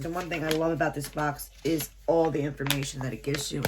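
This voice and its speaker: Noticeable background noise surrounds a woman as she speaks. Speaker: unboxing YouTuber and shop owner. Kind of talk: product unboxing review.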